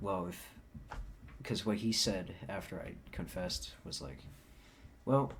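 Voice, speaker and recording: The voice is soft-spoken at a fairly slow pace. Audible room echo surrounds it. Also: man. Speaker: vlogger. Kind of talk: casual vlog monologue. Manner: soft-spoken, quiet.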